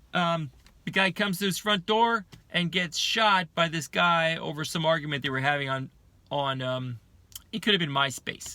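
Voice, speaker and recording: On a very clean recording with a silent background, a man with a high pitch and a bright, sharp tone talks at a moderate pace with ordinary pitch variation. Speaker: video diarist. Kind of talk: casual monologue. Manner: halting, many fillers and repetitions.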